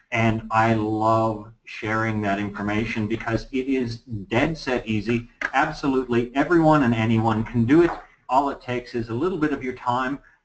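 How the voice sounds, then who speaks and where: With an American accent, a man talks in a normal speaking voice at medium pitch, with ordinary pitch variation and a moderate pace. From Los Angeles, California. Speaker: real estate agent. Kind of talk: presentation.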